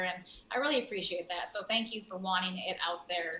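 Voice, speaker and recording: A woman talks at a moderate pace with ordinary pitch variation. Noticeable background noise sits behind her. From South Dakota, US. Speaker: guest sharing personal story. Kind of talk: interview.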